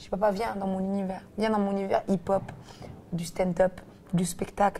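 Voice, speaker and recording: This woman's voice sits at a medium pitch. She speaks at a moderate pace. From Belgium. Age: 30s. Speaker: comedian and actress. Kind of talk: interview answer. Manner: casual, lively.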